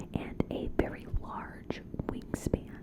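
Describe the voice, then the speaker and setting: A woman whispers over noticeable background noise. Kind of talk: ASMR cryptid storytelling. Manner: whispered; soft-spoken.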